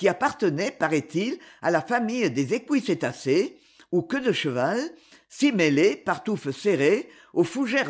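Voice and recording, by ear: Here, reading aloud in a natural voice is what comes through.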